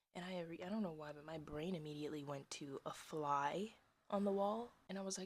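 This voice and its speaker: Soft-spoken, the voice moves along at a moderate pace. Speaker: vlogger, poet. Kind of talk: casual chat.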